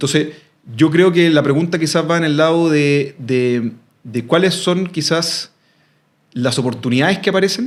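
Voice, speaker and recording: The man's pitch sits fairly high, with ordinary variation. He speaks at a fairly slow pace. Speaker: expert on ageing and silver economy. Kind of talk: interview conversation. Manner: hesitant, many fillers and repetitions.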